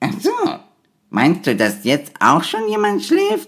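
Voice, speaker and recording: A put-on character voice at a fairly slow pace. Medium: audio drama.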